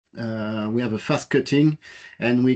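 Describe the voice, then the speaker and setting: A man with a French accent speaks at a medium pitch with fairly even intonation. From France. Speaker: business manager presenting technology. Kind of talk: technical presentation. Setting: workshop presentation. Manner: halting, many fillers.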